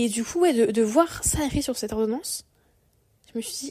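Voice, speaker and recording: A woman's somewhat breathy, dark, mellow tone at a fairly high pitch, with ordinary pitch variation and a moderate pace. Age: 20s. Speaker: podcaster. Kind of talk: personal monologue podcast. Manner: casual, hesitant with fillers.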